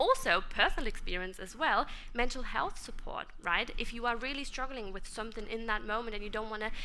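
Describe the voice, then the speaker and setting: A woman with a German accent talks at a fairly quick pace in a fairly high pitch, her tone bright and sharp, with audible room echo. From Germany. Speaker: conference speaker. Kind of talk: conference presentation.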